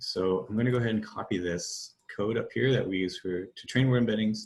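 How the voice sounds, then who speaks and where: Here is a man speaking. His pitch is fairly low, with ordinary pitch variation. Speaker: data science workshop presenter. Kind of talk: tutorial. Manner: hesitant, many fillers.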